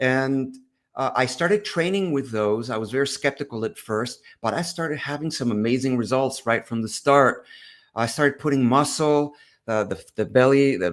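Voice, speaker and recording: Heard in a very clean recording with a silent background, a man speaks at a moderate pace and medium pitch with ordinary pitch variation. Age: 60s. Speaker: doctor and fitness coach. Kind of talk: interview. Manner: halting.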